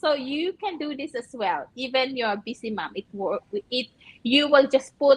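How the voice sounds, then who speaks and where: Lively in intonation, a woman with a Filipino accent speaks at a moderate pace. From Philippines. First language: Filipino language. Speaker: nurse and online business owner. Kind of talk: live stream interview.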